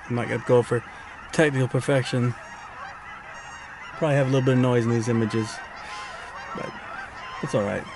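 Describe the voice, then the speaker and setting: A man talks at a fairly quick pace in a flat, monotone way. The sound is dry with no echo, and background noise is noticeable. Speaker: wildlife photographer vlogger. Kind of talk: casual vlog chat. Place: car. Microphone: phone near.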